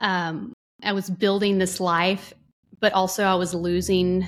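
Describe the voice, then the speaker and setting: A woman with an American accent speaks at medium pitch in a flat, monotone intonation. The recording is very clean, with a silent background. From North Texas. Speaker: psychotherapist and podcast co-host. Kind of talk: casual chat.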